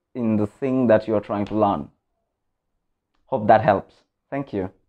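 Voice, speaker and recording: Here a man speaks with a Bengali accent. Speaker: vlogger. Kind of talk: motivational vlog talk.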